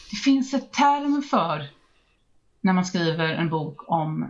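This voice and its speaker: A woman speaks at a fairly low pitch, somewhat breathy. Her pitch swings very widely. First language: not English (Swedish podcast) (speaking Swedish). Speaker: book podcast host. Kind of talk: casual chat.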